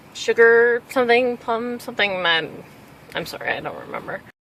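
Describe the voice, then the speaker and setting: Mumbling at a moderate pace, a woman speaks with lively intonation. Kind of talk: casual talk to camera. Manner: rambling.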